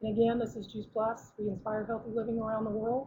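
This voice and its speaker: Her voice sits fairly high in pitch, and her intonation is monotone and flat. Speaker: product representative giving a presentation. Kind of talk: webinar presentation. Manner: fast; halting, many fillers.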